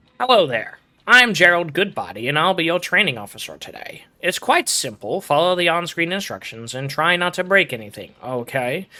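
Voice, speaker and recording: This man uses a put-on character voice, high-pitched and nasal, with very wide pitch swings. He keeps a moderate pace and hardly pauses at all. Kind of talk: formal, suit-and-tie. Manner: prim, stiff.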